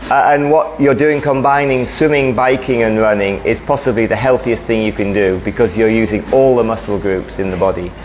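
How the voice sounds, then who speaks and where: Noticeable background noise fills the clip. A man speaks fairly quickly, his pitch varying in an ordinary way. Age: 60s. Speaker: running coach giving a talk. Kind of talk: presentation talk.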